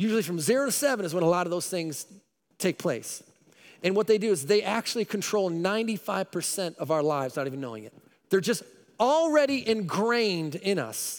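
A man speaks in a high voice with very wide pitch swings and an animated tone. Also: moderate pace, very clean recording, silent background. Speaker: pastor. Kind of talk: sermon. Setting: church.

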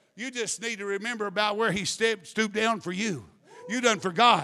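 A man's high-pitched voice is raised and projected. His tone is animated. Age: 50s. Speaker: preacher. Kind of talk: sermon.

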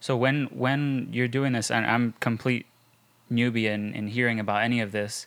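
This man has a medium-pitched, unremarkable speaking voice. He talks at a moderate pace with fairly even intonation. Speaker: podcast host. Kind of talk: interview. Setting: studio.

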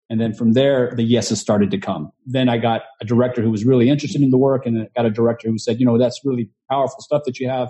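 A somewhat breathy man with an American accent. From Texas, Houston. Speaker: actor and producer. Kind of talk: interview.

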